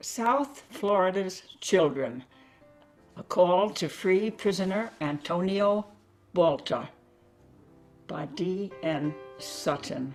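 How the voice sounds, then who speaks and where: A woman's very slow, lively speech at medium pitch, with long, frequent pauses and music in the background. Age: 80s+. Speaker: poet. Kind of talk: poetry reading.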